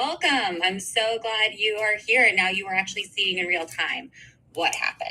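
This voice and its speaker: Loud speech at a moderate pace, with very wide pitch swings and noticeable background noise. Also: woman. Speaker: podcast host and whistleblower. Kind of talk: casual live-stream update. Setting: live stream video.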